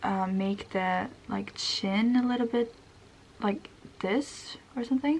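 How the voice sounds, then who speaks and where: Her voice is fairly high, with a Swedish accent. The woman speaks very slowly, with ordinary pitch variation. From Sweden. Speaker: beauty vlogger. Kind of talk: makeup tutorial. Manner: casual, many fillers.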